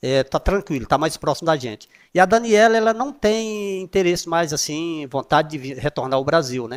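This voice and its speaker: In a normal speaking voice, a man talks at a moderate pace with lively intonation, the sound dry and close with no echo. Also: very clean recording, silent background. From Brazil, Piauí (Nordeste). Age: 60s. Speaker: former city councillor, interview guest. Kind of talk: interview.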